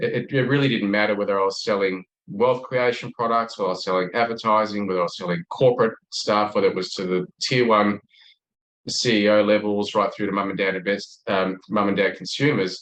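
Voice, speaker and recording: Speaking fairly quickly with an Australian accent, a man keeps his fairly low voice in a fairly even intonation. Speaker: sales expert. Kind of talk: podcast interview.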